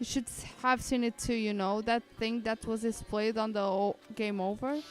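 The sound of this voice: An unforced reading voice with fairly even intonation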